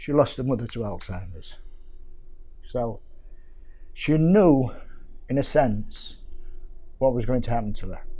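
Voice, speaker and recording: Audible room echo surrounds a man's dark, mellow tone. He talks at a fairly slow pace with ordinary pitch variation. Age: 70s. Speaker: carer. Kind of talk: testimony.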